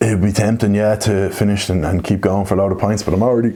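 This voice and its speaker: With an Irish accent, a man talks at a very fast pace. Noticeable background noise is present. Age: 20s. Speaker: Guinness reviewer and YouTuber. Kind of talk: casual Q&A monologue. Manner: casual, animated.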